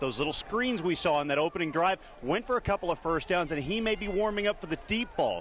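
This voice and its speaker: There is noticeable background noise as a man speaks with a high pitch and ordinary pitch variation. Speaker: sports broadcaster. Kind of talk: sideline sports reporting.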